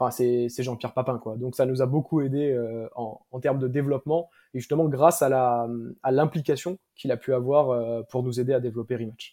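Dark and mellow in tone, a man at medium pitch speaks at a fairly quick pace with fairly even intonation. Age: 20s. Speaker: startup founder. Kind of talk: interview. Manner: halting, many fillers.

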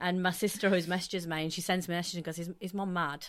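The woman's voice is fairly low and monotone, with flat intonation. The recording is very clean, with a silent background. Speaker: podcast co-host. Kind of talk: casual chat.

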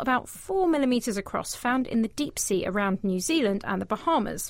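High-pitched, a woman speaks at a fairly quick pace with very wide pitch swings. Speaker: radio host. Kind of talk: casual chat and interview. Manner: animated, jokey.

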